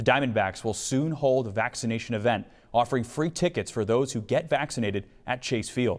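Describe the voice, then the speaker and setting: A man with an ordinary speaking voice, ordinary pitch variation and a fairly quick pace, on a very clean recording with a silent background. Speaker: broadcast journalist. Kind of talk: TV news anchor and reporter read.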